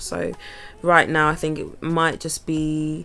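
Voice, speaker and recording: The speaker has a relaxed tone in a Bristolian accent, with noticeable background noise behind. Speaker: vlogger and musician. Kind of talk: casual vlog talk. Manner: relaxed, rambling with fillers.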